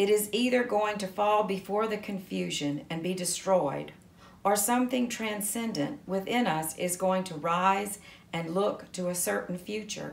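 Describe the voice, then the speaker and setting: Amid audible room echo, a woman talks at a fairly slow pace with ordinary pitch variation. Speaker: reader of spiritual text. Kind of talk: devotional reading. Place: home room.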